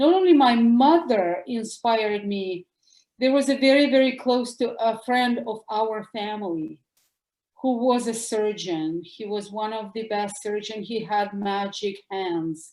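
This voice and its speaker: A woman speaks with a Russian accent. Her pitch is fairly high. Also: ordinary pitch variation, fairly slow pace. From former Soviet Union. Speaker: doctor. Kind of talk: interview. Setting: podcast.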